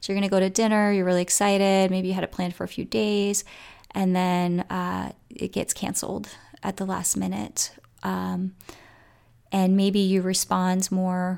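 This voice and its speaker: Recorded very cleanly against a silent background, a woman speaks at a moderate pace in a medium-pitched voice with a warm tone. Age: 40s. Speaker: wellness podcast host. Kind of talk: solo wellness podcast talk. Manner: warm, casual with frequent fillers.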